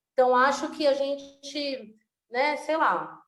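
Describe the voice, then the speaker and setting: A woman speaks with audible room echo. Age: 30s. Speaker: actress and slam poet. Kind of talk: interview conversation.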